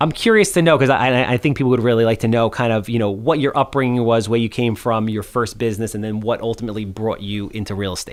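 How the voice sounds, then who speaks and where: With a Long Island accent, a man races along at a very fast pace with hardly any pauses. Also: medium pitch for a man, fairly even intonation. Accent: Long Island New York. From Long Island, New York (South Shore). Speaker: podcast host. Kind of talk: podcast interview.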